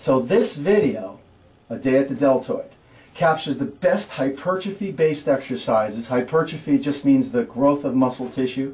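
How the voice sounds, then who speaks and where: A man speaks with a fairly high pitch and ordinary pitch variation. His voice is somewhat breathy, with audible room echo. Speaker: personal trainer. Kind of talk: tutorial. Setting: gym. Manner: fast.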